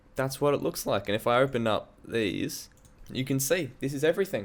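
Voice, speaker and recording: This man talks at a moderate pace in an animated tone. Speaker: musician and music producer. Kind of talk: casual tutorial walkthrough. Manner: casual, animated.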